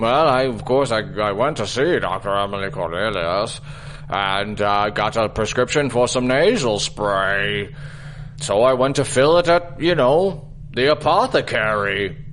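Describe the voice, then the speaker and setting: A put-on character voice speaks at a moderate pace. Background noise is clearly audible. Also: man, medium pitch for a man. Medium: audio drama. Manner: hesitant, rambling with many ums and uhs.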